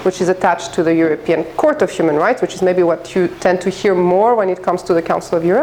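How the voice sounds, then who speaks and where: The woman's pitch is medium, with ordinary variation. There is noticeable background noise behind her. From France and Greece. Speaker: head of an international human rights office. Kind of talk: guest lecture. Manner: fast.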